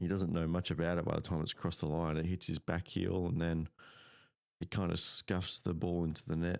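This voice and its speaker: Soft-spoken and with an Australian accent, a man talks at a fairly quick pace with a very deep, low pitch, monotone, flat intonation and very even loudness, in a dry, close sound with no echo. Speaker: football commentator. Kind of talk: live commentary. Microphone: mic cutting in and out.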